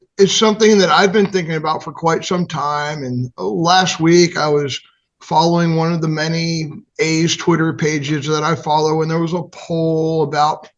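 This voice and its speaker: A man talks at a moderate pace in an American accent. His pitch is high. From Atlanta, US South. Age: 60s. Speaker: baseball fan organizer. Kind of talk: podcast interview. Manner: halting.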